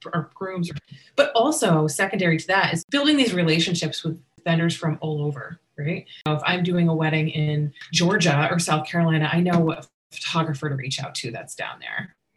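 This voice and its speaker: An unremarkable speaking voice from a woman with an American accent, fairly quick, with ordinary pitch variation. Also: fairly low pitch for a woman. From US Northeast (western Massachusetts), partly California. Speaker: wedding and event planner. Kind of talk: casual interview.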